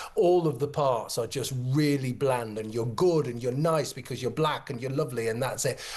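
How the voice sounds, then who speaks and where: Somewhat breathy, a man at a medium pitch talks fairly quickly with ordinary pitch variation. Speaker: former university drama lecturer, commentator. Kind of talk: studio discussion guest.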